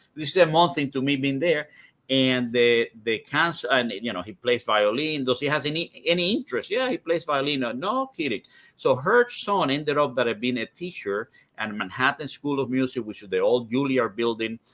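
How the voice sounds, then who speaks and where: At a moderate pace, a man with a Spanish accent talks in a fairly high pitch with ordinary pitch variation. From Cuba. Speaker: cigar industry executive. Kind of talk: interview conversation. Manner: halting, many repetitions.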